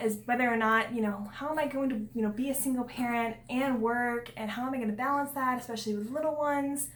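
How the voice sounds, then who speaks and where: In a room with audible echo and noticeable background noise, a woman talks very fast at a high pitch with ordinary pitch variation. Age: 20s. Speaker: vlogger and single foster parent. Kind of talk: casual vlog talk. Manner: conversational with many fillers.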